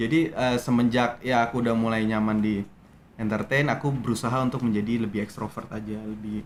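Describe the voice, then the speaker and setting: At a fairly quick pace, a man talks at medium pitch with fairly even intonation. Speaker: actor. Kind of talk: interview. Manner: hesitant, many fillers.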